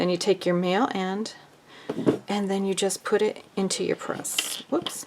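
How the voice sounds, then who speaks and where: Against noticeable background noise, someone talks fairly slowly with fairly even intonation. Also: woman, medium pitch for a woman. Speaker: sewing crafter. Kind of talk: tutorial. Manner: casual.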